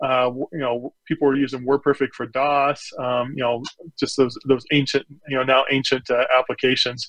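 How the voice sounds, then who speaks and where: A man with an American accent speaks at a moderate pace and medium pitch, his intonation monotone and flat, in a dry, close sound with no echo. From Nebraska, US Midwest. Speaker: chief information security officer. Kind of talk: interview.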